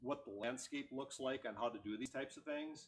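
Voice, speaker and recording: A man talks at a fairly quick pace. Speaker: tech meetup presenter. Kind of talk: technical presentation with live demo. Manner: fast; casual, joking.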